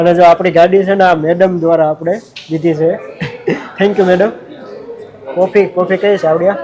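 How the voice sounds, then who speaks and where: A man with a high-pitched voice speaks in a flat monotone over noticeable background noise. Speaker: village vlogger. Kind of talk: casual vlog narration.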